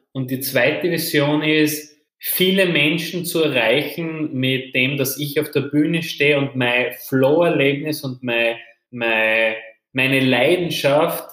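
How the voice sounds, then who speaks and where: A man's fairly high voice with ordinary pitch variation at a very slow pace, with audible room echo. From Austria, Styria. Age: 20s. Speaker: entrepreneur. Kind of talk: interview.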